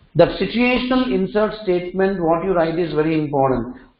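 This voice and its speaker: Audible room echo surrounds a man speaking at a high pitch. His pace is moderate. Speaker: programming instructor. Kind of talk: lecture.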